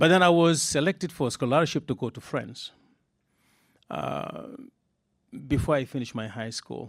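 Very clean, with a silent background, the recording catches a man using lively intonation and vocal fry. His loudness swings widely, and he leaves long, frequent pauses. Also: fairly high pitch for a man, moderate pace. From Senegal, groundnut basin. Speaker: agricultural economist. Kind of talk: panel conversation. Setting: event room with live audience. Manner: hesitant, many filler uhs.

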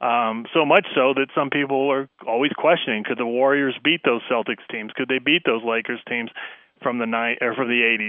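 A man uses a normal speaking voice at a medium pitch, with a moderate pace and fairly even intonation. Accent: American. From central Pennsylvania. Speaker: basketball league communications executive. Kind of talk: radio interview. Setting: phone call.

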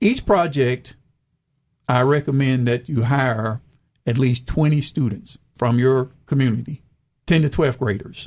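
Speaking in a Southern US accent, a man uses a medium pitch with ordinary pitch variation, a fairly slow pace, very even loudness and a somewhat breathy sound. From US South, rural eastern Arkansas. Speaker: retired agriculture official, farming entrepreneur. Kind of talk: radio interview.

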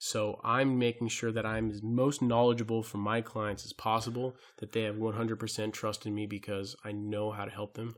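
This man barely pauses at all. His intonation is monotone and flat. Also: medium pitch for a man, moderate pace. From Hawaii. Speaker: tax resolution specialist. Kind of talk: interview.

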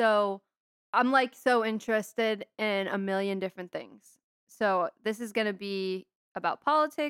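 Her pitch sits fairly high, and this woman uses an ordinary speaking voice with ordinary pitch variation. She talks at a moderate pace, and the sound is dry and close with no echo. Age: 20s. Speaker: podcast host. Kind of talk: solo podcast monologue. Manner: casual, conversational.

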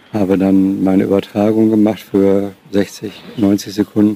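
With flat, monotone delivery and a fairly low pitch, a man talks against noticeable background noise. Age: 50s. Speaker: former radio sports reporter. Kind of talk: interview recollection.

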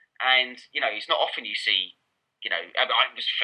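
A man speaks with an Essex accent. His pace is fairly quick. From Essex, England. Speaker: football journalist and author. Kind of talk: casual interview chat. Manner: informal, hesitant with fillers.

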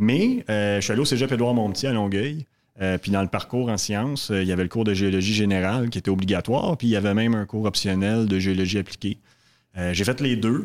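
A man speaks at a fairly quick pace and fairly low pitch, with ordinary pitch variation and very even loudness, in a very clean recording with a silent background. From Quebec, Montreal south shore. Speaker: exploration geologist executive. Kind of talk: interview. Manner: halting.

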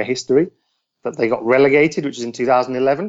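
The speaker has a West Midlands accent. The pace is moderate. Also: man. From West Midlands, England (Shropshire, near Telford). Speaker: football journalist. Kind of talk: interview.

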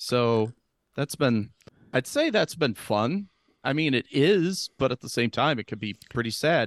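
A man with a plain, everyday voice talks at medium pitch and a fairly slow pace, with lively intonation. The sound is dry and close, with no echo. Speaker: podcast guest. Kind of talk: casual chat.

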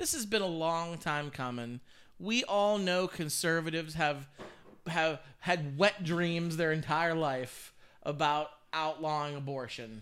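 A man speaks in a normal speaking voice, fairly high in pitch with ordinary pitch variation, at a fairly slow pace. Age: 30s. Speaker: podcast co-host. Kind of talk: casual chat.

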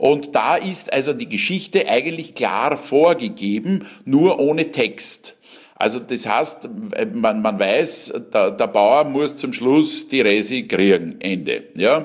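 A man speaks very slowly in a fairly high voice, with vocal fry and very wide swings in pitch. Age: 60s. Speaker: cabaret artist and actor. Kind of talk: interview.

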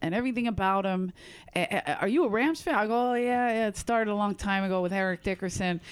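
Speaking with a Philadelphia accent, this woman talks. Her pace is fairly quick. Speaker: stand-up comedian. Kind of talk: casual chat. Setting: in person with host.

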